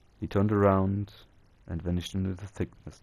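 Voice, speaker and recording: With a non-native accent, a man speaks in a very deep, low pitch, his tone dark and mellow and his intonation monotone and flat. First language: not English. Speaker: storyteller. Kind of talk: reading aloud. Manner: halting.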